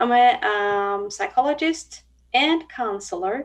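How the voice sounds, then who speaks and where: A woman speaks at a very slow pace with a Turkish accent. The background is quiet. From Turkey. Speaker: blind psychologist and university professor. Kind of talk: interview. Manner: hesitant, with frequent fillers.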